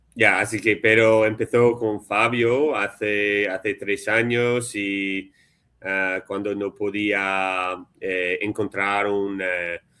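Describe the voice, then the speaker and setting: Speaking very slowly, a man with an English accent has a fairly low pitch. His tone is bright and sharp, and his intonation is monotone and flat. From US, Philadelphia. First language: English (speaking Spanish). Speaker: Spanish learner, software developer. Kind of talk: casual chat. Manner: halting, many fillers.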